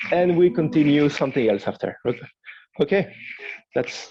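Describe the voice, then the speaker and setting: A man is speaking. His pitch is fairly high. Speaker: guitar teacher giving a masterclass. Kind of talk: masterclass teaching. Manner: halting, many repetitions.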